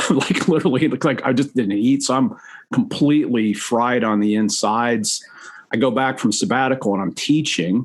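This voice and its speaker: Lively intonation marks an American-accented man talking at a fairly quick pace. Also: medium pitch for a man. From US Midwest. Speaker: seminary professor. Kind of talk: podcast interview. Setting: video call. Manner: fast.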